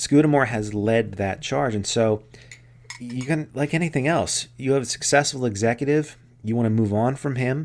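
With ordinary pitch variation, this is a plain, everyday voice. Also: man, medium pitch for a man, moderate pace. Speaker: podcast co-host. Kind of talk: casual chat.

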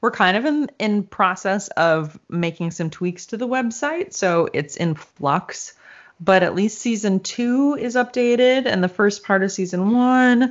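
A plain, everyday voice, a woman at medium pitch with lively intonation and a fairly slow pace. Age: middle-aged. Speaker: podcast co-host. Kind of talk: casual chat.

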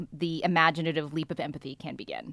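In an American accent, a woman speaks with a bright, sharp tone at a fairly low pitch on a very clean recording with a silent background. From US, San Francisco Bay Area. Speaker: newspaper columnist and novelist. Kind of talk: casual chat.

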